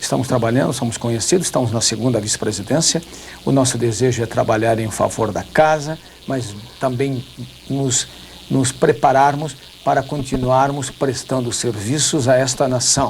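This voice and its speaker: Medium-pitched male speech at a moderate pace, fairly even in intonation, over noticeable background noise. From southern Brazil. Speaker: politician. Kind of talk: TV debate interview.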